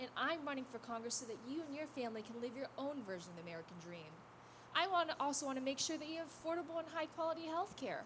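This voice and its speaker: A woman with a high pitch talks at a very fast pace with lively intonation over noticeable background noise. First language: not English. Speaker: congressional candidate. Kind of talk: campaign speech at a public forum.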